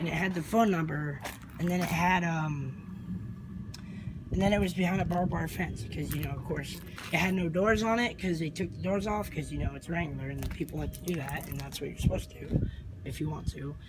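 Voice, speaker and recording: The speech moves at a fairly quick pace with ordinary pitch variation. There is noticeable background noise and audible room echo. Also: man, high pitch for a man. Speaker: vlogger. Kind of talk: casual video walkthrough. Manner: halting.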